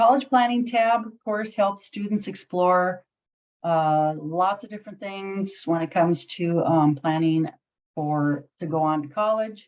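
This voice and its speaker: A woman with an ordinary speaking voice talks at a fairly slow pace, at medium pitch with ordinary pitch variation. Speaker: career resource supervisor. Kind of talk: webinar presentation.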